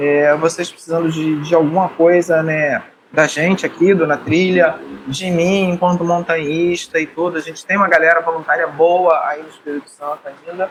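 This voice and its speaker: A man speaks at a moderate pace in a high voice, his intonation fairly even, with noticeable background noise behind him. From Rio de Janeiro, Brazil. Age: 60s. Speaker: podcast co-host, mountaineer. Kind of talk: casual chat.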